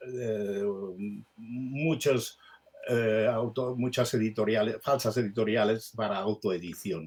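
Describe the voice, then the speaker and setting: A man's medium-pitched voice at a very slow pace with fairly even intonation. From Sabadell, Catalonia, Spain. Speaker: writer. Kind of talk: interview answer.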